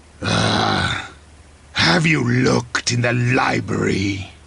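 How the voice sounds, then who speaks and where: Growling in a put-on character voice, a man speaks at a very slow pace with a very deep, low pitch. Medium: machinima. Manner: insolent, frequent laughter.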